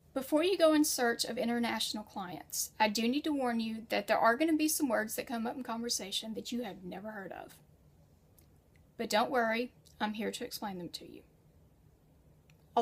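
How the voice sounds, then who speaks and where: A plain, everyday voice speaks with an American accent and ordinary pitch variation. Its loudness swings widely. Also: woman. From United States. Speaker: freelance writer and educator. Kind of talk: tutorial. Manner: conversational.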